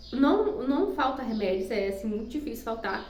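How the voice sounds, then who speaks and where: A plain, everyday voice from a woman, fairly high-pitched, fairly quick, with ordinary pitch variation. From Maranhão, Brazil. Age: young. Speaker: homemaker and nursing student. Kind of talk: casual talk to camera.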